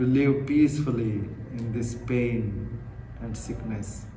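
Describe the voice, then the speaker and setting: Against noticeable background noise, a man speaks in a calm tone with fairly even intonation. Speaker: Buddhist monk, meditation guide. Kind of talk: guided meditation. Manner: slow, calm.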